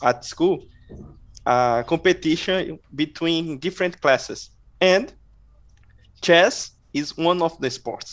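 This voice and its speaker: This man speaks with a non-native accent and ordinary pitch variation. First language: not English. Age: 30s. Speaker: adult chess player. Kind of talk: interview. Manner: halting.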